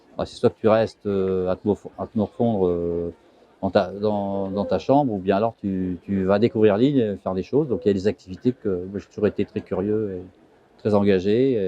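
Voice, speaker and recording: A man speaks with fairly low pitch at a moderate pace. His intonation stays fairly even. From France, Vosges (Mirecourt). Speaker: sailor. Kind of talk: interview. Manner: halting.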